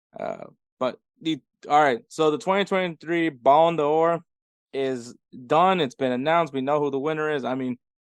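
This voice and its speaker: This man's fairly high voice has ordinary pitch variation and a dry, close sound with no echo. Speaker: soccer podcast co-host. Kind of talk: casual podcast chat. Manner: sounds sarcastic by nature; hesitant, many fillers and repeats.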